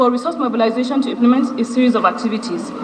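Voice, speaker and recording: Spoken at a very fast pace with a Nigerian accent, the voice comes through noticeable background noise. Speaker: ministerial nominee, senior public official. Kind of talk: formal prepared statement at a confirmation hearing. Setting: legislative chamber screening session. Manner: formal; occasionally halting, with restarts.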